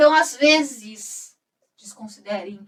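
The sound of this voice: A woman is speaking. Her intonation is lively.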